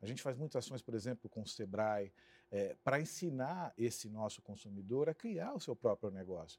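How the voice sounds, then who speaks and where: A man's medium-pitched voice at a moderate pace, with lively intonation and a dry, close sound free of echo. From São Paulo, Brazil (Santo André, ABC region). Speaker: marketing executive. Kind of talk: interview. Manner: halting.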